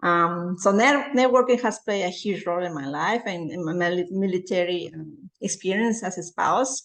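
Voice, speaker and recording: A woman speaks at a moderate pace and medium pitch with lively intonation. She leaves hardly any pauses. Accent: American. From outside the US. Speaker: military spouse, embassy secretary. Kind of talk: interview. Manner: halting.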